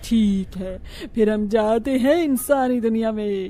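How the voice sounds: A female-sounding, cartoonish character voice speaks at a fairly slow pace over music in the background. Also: fairly high pitch for a woman.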